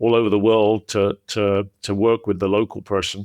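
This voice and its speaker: A man with an American accent speaks in a fairly low, monotone, flat voice. The background is quiet, and the sound is dry and close with no echo. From England. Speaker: podcast host, former CEO. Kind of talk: casual interview chat. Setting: podcast recording.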